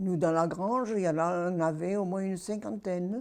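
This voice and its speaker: Against a quiet background, a woman speaks at a fairly slow pace in a fairly low pitch with a dark, mellow tone. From Provence, France. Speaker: war witness. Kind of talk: testimony.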